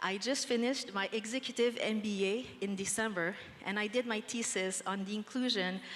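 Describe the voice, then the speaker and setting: Speaking at a fairly slow pace, a woman talks with a Quebec accent. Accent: Québécois French accent in English. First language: French. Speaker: nonprofit general manager. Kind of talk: panel discussion. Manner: hesitant, many fillers.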